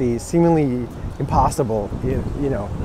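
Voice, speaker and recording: The voice has ordinary pitch variation over noticeable background noise. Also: man. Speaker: vlogger. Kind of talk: vlog monologue. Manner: halting.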